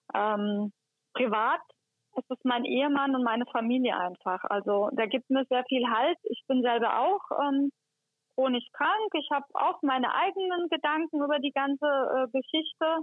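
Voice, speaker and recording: Her loudness stays very even as this woman speaks with lively intonation. Her pitch is high and her pace fairly slow. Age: 40s. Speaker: head of hospital housekeeping. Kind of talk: interview. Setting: phone call.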